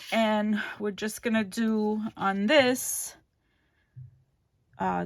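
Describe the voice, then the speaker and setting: A woman mumbles on a very clean recording with a silent background. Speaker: crafting channel host. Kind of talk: craft tutorial. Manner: mumbling; casual, hesitant with fillers.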